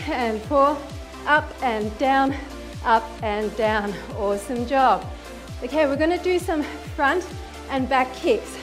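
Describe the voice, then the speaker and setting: A woman talks at a very slow pace in a high voice. Clear music plays behind her. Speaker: fitness instructor. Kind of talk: workout instruction cueing. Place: home room.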